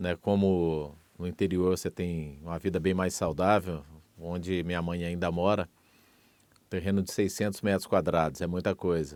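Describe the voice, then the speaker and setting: A man with a very deep, low voice speaks at a moderate pace in monotone, flat intonation over a very clean, silent background. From Minas Gerais, Brazil. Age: 50s. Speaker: radio broadcaster. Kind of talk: interview testimony.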